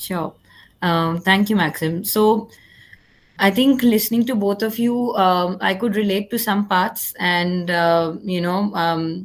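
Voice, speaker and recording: The speaker talks at a very slow pace with an Indian accent. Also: woman, medium pitch for a woman, ordinary pitch variation. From India, Raipur, Chhattisgarh. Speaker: psychologist and entrepreneur. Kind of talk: panel discussion. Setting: online livestream. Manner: hesitant, many fillers.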